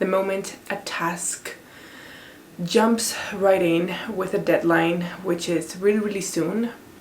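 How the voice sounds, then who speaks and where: A woman speaks very slowly at a medium pitch, in a monotone, flat intonation, with long, frequent pauses. Noticeable background noise and audible room echo fill the recording. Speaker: PhD student and lifestyle vlogger. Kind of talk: casual vlog talk to camera.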